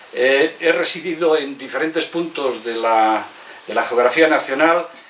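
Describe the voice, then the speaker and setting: A man talks at a fairly slow pace with ordinary pitch variation over noticeable background noise. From Spain, León province. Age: 60s. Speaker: author. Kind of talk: book presentation speech. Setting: bookstore event with audience. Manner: halting, many fillers.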